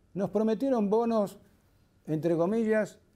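A man with a dark, mellow tone talks at a moderate pace with ordinary pitch variation against a quiet background. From Argentina, Tandil (Buenos Aires province); Buenos Aires province, Argentina. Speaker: war veteran and surgeon. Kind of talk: testimony interview; interview answer. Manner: halting, frequent fillers and repetitions. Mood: indignant, earnest. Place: studio.

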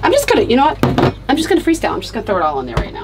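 A woman's voice with noticeable background noise. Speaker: vlogger cooking. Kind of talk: casual vlog chat. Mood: cheerful, excited. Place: kitchen. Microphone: phone near.

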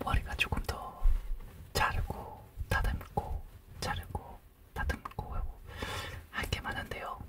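A man whispers at a very slow pace. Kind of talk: soft-spoken role-play talk. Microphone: studio mic.

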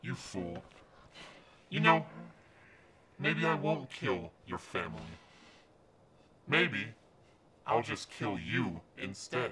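A raspy voice speaks at a very slow pace in a menacing tone. Long pauses come often. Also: man, fairly low pitch for a man. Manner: cold, menacing, contemptuous.

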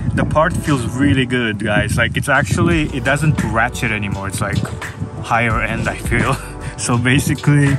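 Over loud background music, a man talks at a moderate pace with ordinary pitch variation, the sound dry with no echo. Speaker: van life vlogger. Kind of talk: casual vlog chat. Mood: relaxed, pleased. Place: car. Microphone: phone near.

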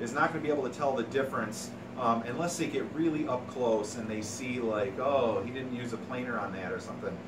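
Noticeable background noise sits under a man who speaks at a fairly quick pace with ordinary pitch variation. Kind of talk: tutorial. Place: workshop. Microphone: camera far.

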